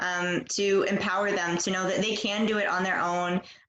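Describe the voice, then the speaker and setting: With noticeable background noise behind her, a woman speaks at a medium pitch and moderate pace in a monotone, flat intonation. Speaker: English teacher. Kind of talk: interview host questions.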